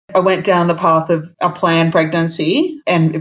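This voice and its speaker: A woman's fairly low voice with an Australian accent, monotone and flat, at a moderate pace. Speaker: solo mother by choice. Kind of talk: casual interview.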